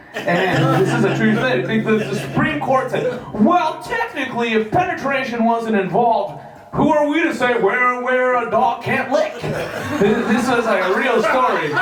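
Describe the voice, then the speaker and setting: The speech runs at a fairly slow pace with hardly any pauses and very even loudness. Noticeable background noise and audible room echo are present. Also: man, extremely high pitch for a man, lively intonation. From Canada. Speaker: comedian. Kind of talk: stand-up. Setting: stage with audience. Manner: halting.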